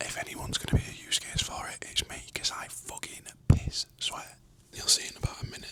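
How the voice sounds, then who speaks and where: Whispering with a British accent, a man talks at a fairly quick pace with big swings in loudness over noticeable background noise. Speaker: fitness coach and vlogger. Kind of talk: vlog narration. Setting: at home, kitchen.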